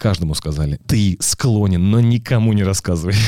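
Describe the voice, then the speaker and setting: At a fairly quick pace, a man speaks in a dark, mellow tone with ordinary pitch variation, the sound dry and close with no echo. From Russia, Penza. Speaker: sports commentator and event host. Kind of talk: casual chat. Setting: studio.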